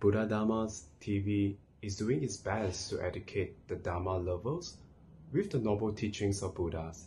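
A man speaks at a moderate pace with a fairly low pitch and a dark, mellow tone. His voice is somewhat breathy over light background noise. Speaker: program host. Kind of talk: scripted announcements. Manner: formal. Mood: calm, respectful.

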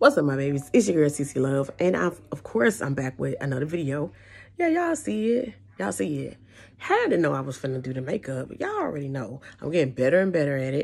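A woman talks very fast in a very deep, low voice. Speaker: beauty vlogger. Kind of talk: casual vlog chat. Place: home room. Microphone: phone near.

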